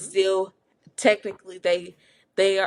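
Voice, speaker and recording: A normal speaking voice with an American accent at a fairly slow pace, on a very clean recording with a silent background. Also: woman. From Southern US. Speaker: podcast co-host. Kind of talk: podcast conversation.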